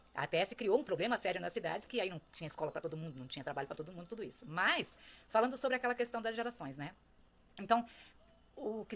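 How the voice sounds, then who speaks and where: Here a woman talks at a very fast pace with a fairly high pitch. Her pitch swings are very wide. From rural Brazil. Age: 60s. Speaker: social commentator. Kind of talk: reflective monologue. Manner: conversational.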